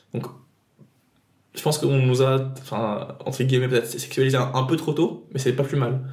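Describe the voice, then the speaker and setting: In a room with audible echo, a man at a medium pitch speaks at a moderate pace in a dark, mellow, somewhat breathy tone. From Tunisia. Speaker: podcast guest. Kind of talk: personal testimony. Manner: halting.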